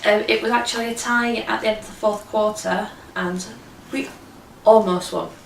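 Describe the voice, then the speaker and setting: Amid noticeable background noise and audible room echo, a woman speaks at a moderate pace with fairly even intonation, long, frequent pauses and big swings in loudness. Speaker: sports fan vlogger. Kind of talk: casual video review. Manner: perky; hesitant with fillers.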